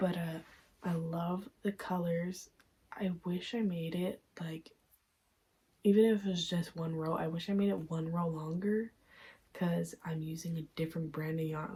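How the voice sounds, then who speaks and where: Somewhat breathy, a woman speaks at a moderate pace in a dark, mellow tone, her fairly low pitch holding fairly even intonation. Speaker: crochet vlogger. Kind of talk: casual vlog review. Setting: at home at night. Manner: soft-spoken; hesitant filler-heavy.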